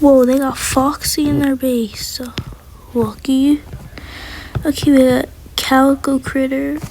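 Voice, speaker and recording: A high-pitched woman at a fairly slow pace, flat and monotone, with long, frequent pauses and noticeable background noise. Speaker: gaming youtuber. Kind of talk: gameplay commentary.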